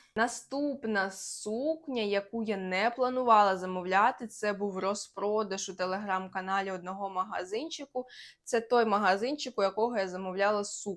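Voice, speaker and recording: Against a quiet background, a woman talks at a moderate pace and medium pitch with ordinary pitch variation. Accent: Russian. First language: Russian (speaking Ukrainian). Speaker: lifestyle vlogger. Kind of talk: casual haul vlog.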